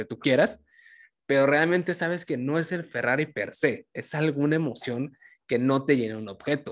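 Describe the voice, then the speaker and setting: A man talks in a plain, everyday voice with a fairly high pitch and ordinary pitch variation. The background is quiet. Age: 20s. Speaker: podcast host. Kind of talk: casual interview chat.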